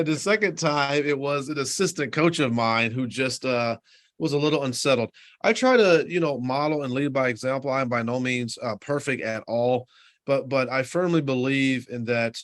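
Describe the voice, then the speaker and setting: A man at a medium pitch, with ordinary pitch variation and a moderate pace. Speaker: high school basketball coach and assistant principal. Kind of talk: interview. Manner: calm, not a yeller; halting, with fillers and restarts.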